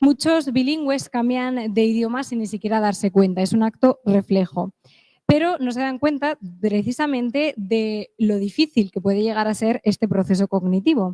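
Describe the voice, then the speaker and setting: A woman's fairly high voice, dark and mellow in tone, with ordinary pitch variation and a dry, close sound with no echo. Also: moderate pace. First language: English (speaking Spanish). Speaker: conference speaker. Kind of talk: conference talk.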